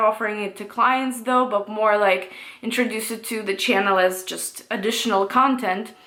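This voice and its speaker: A woman with a non-native accent speaks at a fairly quick pace with ordinary pitch variation. Noticeable background noise and audible room echo fill the recording. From Russia. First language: Russian. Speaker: tarot reader and astrology YouTuber. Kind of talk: casual Q&A monologue. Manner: hesitant, many fillers.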